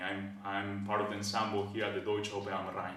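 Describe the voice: Someone speaks at a fairly quick pace amid strong room echo. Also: man.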